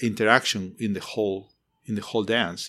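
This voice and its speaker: On a very clean recording with a silent background, a man speaks with a Spanish accent. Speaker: architecture professor. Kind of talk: interview. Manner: passionate, emotional.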